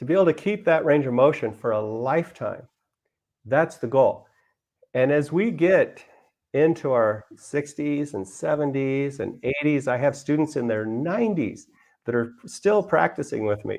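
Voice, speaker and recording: A man with a fairly high voice talks at a moderate pace with lively intonation. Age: 60s. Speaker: yoga instructor. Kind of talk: demonstration talk. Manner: halting.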